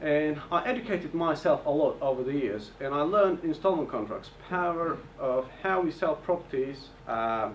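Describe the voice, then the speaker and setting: A man with a non-native accent speaks at a fairly high pitch. Noticeable background noise is present. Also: moderate pace. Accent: foreign. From Bulgaria, Turkish family. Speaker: property investor. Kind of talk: seminar presentation. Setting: hotel event with audience.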